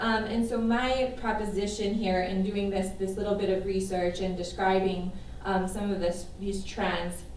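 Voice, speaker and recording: Noticeable background noise and audible room echo around a woman's medium-pitched voice at a moderate pace. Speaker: psychologist and faculty member presenting research. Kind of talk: academic presentation.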